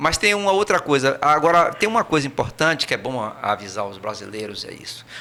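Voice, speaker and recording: The speech moves at a fairly quick pace with very wide pitch swings and big swings in loudness. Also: man. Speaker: emigrant returned from Portugal. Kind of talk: podcast interview. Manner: hesitant, repeats words.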